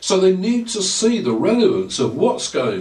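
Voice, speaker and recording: Audible room echo and noticeable background noise surround a man with an English accent who speaks at a fairly slow pace. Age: 60s. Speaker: maths educator. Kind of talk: lecture. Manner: formal.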